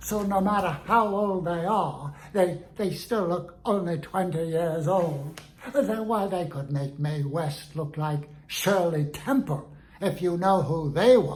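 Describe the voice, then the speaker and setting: This is a put-on character voice with a pompous tone. The pace is fairly slow. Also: man, high pitch for a man. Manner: pompous, indignant.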